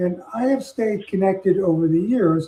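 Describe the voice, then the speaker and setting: A man with an American accent speaks at a high pitch with ordinary pitch variation. His tone is dark and mellow. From New York City. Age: 80s+. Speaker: retired physician and health administrator. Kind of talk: podcast interview.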